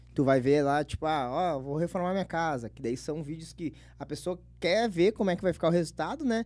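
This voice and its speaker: Speaking with a southern Brazilian accent, a man has a fairly high pitch and ordinary pitch variation. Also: fairly quick pace. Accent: gaúcho Brazilian Portuguese. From Porto Alegre area, Rio Grande do Sul, Brazil; Rio Grande do Sul, Brazil. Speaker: internet comedian; podcast guest. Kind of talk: casual chat. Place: studio. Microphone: studio mic.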